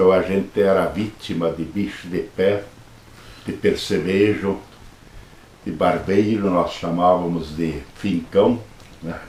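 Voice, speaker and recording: Amid noticeable background noise and audible room echo, a man with a very deep, low pitch speaks at a very slow pace with fairly even intonation and long, frequent pauses. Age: 70s. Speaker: Jesuit priest. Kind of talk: interview, life story.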